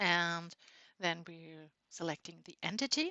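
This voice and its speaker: Speaking at a fairly slow pace with a non-native accent, a woman lets her pitch swing very widely. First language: not English. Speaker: software tutorial creator. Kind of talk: tutorial.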